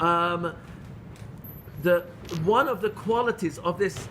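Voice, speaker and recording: A man with a high-pitched voice talks at a fairly slow pace, his pitch varying in an ordinary way. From England (London). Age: 60s. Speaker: Torah teacher. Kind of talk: lecture. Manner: halting.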